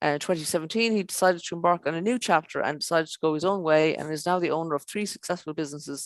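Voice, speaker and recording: A woman speaks very fast with hardly any pauses, her fairly low pitch moving with ordinary variation in a dry, close sound with no echo. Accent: Irish. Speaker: show presenter. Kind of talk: online show presenting. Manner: halting, many fillers.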